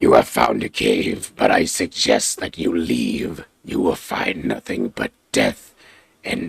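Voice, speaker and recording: In a put-on character voice, a man talks at a fairly slow pace, very deep and low in pitch and raspy. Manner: ominous warning.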